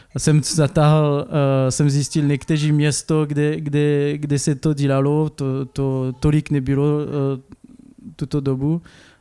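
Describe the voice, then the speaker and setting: In a French accent, this dark, mellow voice moves at a very slow pace with very even loudness and monotone, flat intonation. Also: man, fairly high pitch for a man. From France, Clermont-Ferrand. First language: French (speaking Czech). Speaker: painter. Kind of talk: interview. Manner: halting.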